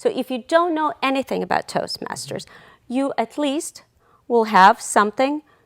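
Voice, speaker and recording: A woman with a non-native accent speaks at a high pitch and moderate pace with lively intonation, in a very clean recording with a silent background and a dry, close sound with no echo. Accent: foreign. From outside the US. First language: not English. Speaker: nonprofit volunteer, social media and PR worker. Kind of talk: TV interview.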